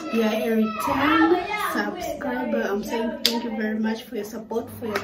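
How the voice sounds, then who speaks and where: A woman speaks with ordinary pitch variation. Loud background noise runs underneath. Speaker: YouTuber. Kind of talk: casual vlog chat. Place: home room. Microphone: phone near.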